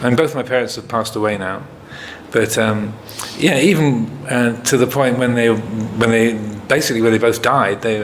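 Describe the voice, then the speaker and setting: Over noticeable background noise and audible room echo, a man with an American accent talks at a medium pitch and a moderate pace. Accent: English with bits of American. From England. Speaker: Buddhist monk, meditation teacher. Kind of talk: retreat Q&A talk. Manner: hesitant, many fillers.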